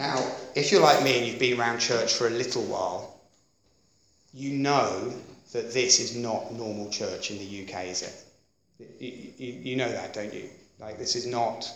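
With an English accent, the speaker goes at a fairly slow pace with fairly even intonation and big swings in loudness, in audible room echo. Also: man, medium pitch for a man. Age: 40s. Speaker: pastor. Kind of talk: sermon. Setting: church.

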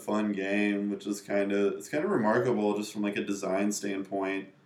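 A man with an American accent talks in a medium pitch, using an ordinary speaking voice. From North Carolina (Raleigh). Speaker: video game programmer. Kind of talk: casual chat.

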